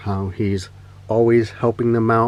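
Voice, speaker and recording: Relaxed in tone, a man with a Spanish accent speaks at a medium pitch in a monotone, flat intonation. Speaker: toy customizer and collector. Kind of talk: casual show-and-tell. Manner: relaxed, with frequent fillers.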